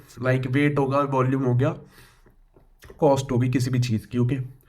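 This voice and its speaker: A man's voice is heard with audible room echo. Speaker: computer science tutor. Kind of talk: lecture. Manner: halting, with many fillers.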